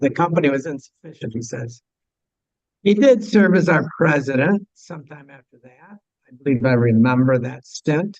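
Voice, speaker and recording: Fairly high-pitched male voice with lively intonation and big swings in loudness. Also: moderate pace. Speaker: astronomy club officer introducing speaker. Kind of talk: speaker introduction at club meeting. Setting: meeting room with audience and microphone. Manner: halting.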